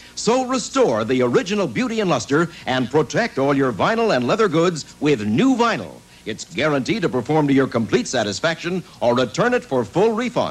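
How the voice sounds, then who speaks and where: A man talks at a moderate pace with hardly any pauses, his pitch swinging very widely. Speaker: commercial announcer. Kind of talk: advertising voice-over.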